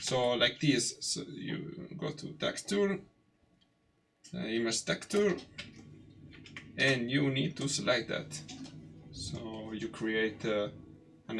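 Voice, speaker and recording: A man speaks at a very slow pace in an Italian accent, with long, frequent pauses. His pitch swings very widely. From Italy. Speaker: 3D artist live streamer. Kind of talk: live tutorial stream. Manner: halting, many fillers.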